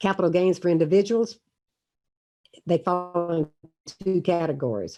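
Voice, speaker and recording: A woman's dark, mellow, fairly low voice with a Southern US accent. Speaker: university finance professor. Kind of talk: online lecture. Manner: fast. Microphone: poor connection, choppy.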